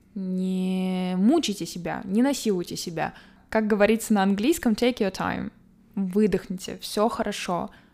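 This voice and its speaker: Dark and mellow in tone, a woman's medium-pitched voice moves at a moderate pace with ordinary pitch variation. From Moscow, Russia. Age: 20s. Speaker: podcast host. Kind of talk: solo podcast monologue.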